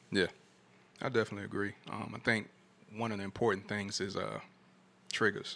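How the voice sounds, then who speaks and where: Talking at a fairly quick pace with long, frequent pauses, a man uses a bright, sharp tone, vocal fry, and monotone, flat intonation. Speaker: podcast host. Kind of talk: casual chat. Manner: soft-spoken.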